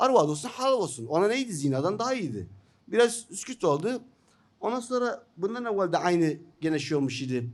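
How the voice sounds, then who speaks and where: A man with an Iraqi accent speaks at a moderate pace in a high voice with very wide pitch swings. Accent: Iraqi Turkmen Turkish. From northern Iraq (Turkmen). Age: 50s. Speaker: journalist and writer; journalist. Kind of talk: seminar talk. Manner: halting, many fillers. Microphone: podium.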